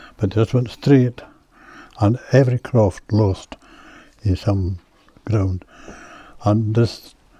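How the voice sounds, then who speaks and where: With a West Highland Scottish accent, a man speaks at a fairly slow pace in a dark, mellow, somewhat breathy tone at medium pitch. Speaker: local elder and storyteller. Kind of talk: casual interview.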